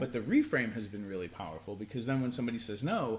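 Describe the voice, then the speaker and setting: A man talks at medium pitch in a normal speaking voice, his intonation lively. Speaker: sex and relationship educator. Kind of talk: casual conversational advice talk to camera.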